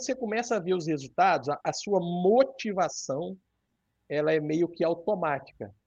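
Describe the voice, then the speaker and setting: A man talks at a fairly slow pace. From northern Rio de Janeiro state, near Minas Gerais border. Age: 30s. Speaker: accountant and fitness social media creator sharing his weight-loss surgery story. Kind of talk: casual interview.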